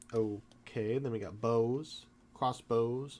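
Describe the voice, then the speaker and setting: Medium in pitch, a man speaks with fairly even intonation. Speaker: tabletop game reviewer. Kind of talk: casual book look-through to camera. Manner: halting, stumbles over words.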